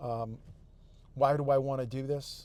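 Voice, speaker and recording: Fairly even in intonation, a man's voice carries a dark, mellow tone. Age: 60s. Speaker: fitness vlogger. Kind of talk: casual monologue. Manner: halting with fillers and repetitions.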